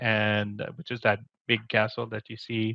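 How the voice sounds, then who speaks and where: In a Quebec accent, a man talks at a moderate pace and a medium pitch. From Quebec City, Canada. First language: French. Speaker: community program manager, show co-host. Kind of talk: casual interview.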